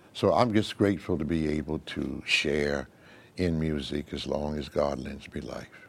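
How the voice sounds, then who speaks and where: A man's very deep, low voice with vocal fry, at a fairly slow pace. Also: ordinary pitch variation. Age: 80s+. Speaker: retired pastor. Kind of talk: interview.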